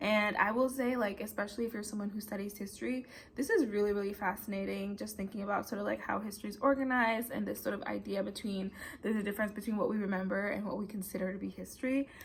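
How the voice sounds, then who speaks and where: A woman talks at a very fast pace. Her medium-pitched voice is somewhat breathy. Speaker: vlogger and PhD student. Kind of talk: casual vlog talk to camera. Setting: at home desk.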